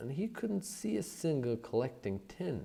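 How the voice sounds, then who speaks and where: A man talks at a fairly slow pace with vocal fry. His dark, mellow tone has very wide pitch swings. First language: not English. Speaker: audiobook narrator. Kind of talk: reading aloud.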